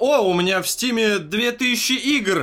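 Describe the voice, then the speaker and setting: A man raises and projects his voice with a bright, sharp tone. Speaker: podcast co-host. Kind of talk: casual chat.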